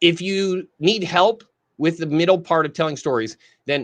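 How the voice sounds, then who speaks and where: Against a quiet background, a man talks at a fairly slow pace in an ordinary speaking voice with ordinary pitch variation. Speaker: marketing trainer. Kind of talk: live training. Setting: live stream.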